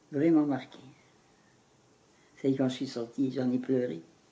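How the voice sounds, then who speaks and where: A woman's very deep, low voice carries a dark, mellow tone at a fairly slow pace. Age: 80s+. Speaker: former wartime Resistance member. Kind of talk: interview answer. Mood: moved, grave recollection. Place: home room.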